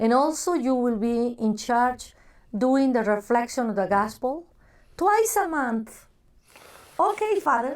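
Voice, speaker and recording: A woman with a Spanish accent speaks fairly slowly at a high pitch, with very wide pitch swings, very even loudness, and long, frequent pauses. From Mexico, Guadalajara. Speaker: church ministry director. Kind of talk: oral history interview. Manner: halting, searches for English words.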